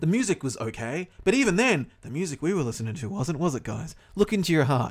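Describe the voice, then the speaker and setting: Vocal fry marks a man's fairly high-pitched voice. His pitch swings very widely. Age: 30s. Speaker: podcast co-host. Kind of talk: casual chat. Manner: rambling tangents, talks a lot.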